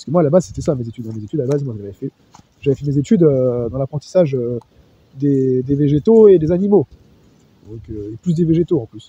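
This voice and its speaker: Very fast and somewhat breathy, a man talks with lively intonation at a fairly high pitch. His tone is dark and mellow, and the sound is dry and close with no echo. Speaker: SOC analyst. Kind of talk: testimony. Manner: halting.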